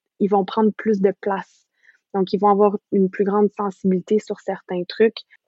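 A woman talks at a fairly slow pace with a medium pitch. Her intonation is monotone and flat. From western Canada. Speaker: doctoral researcher in speech-language pathology. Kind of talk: interview.

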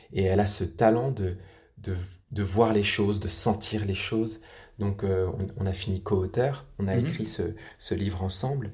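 Pausing long and often, a man speaks at a moderate pace in a fairly low, somewhat breathy voice with ordinary pitch variation. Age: 30s. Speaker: patient expert, recovering alcoholic. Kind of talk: interview testimony. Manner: halting, frequent repetitions.

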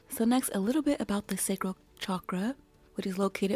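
A woman speaks at a fairly quick pace with music in the background. The sound is dry and close, with no echo. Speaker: meditation guide and teacher. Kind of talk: guided meditation. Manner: reflective, affirming.

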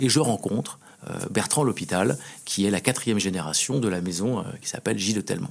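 This man has a fairly low pitch and an unremarkable speaking voice, talking at a moderate pace with lively intonation. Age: 40s. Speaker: champagne house executive. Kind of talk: interview.

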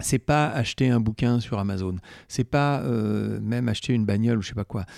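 A man speaks at medium pitch and a moderate pace with a dark, mellow tone. The recording is very clean, with a silent background and a dry, close sound with no echo. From France, Corrèze. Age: 60s. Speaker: former real estate network president. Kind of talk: interview conversation.

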